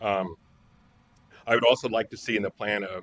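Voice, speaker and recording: The sound is dry and close, with no echo. Delivery comes at a fairly quick pace with fairly even intonation. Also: man. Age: 60s. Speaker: public commenter at a council hearing. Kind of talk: public hearing testimony. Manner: halting, with fillers and restarts.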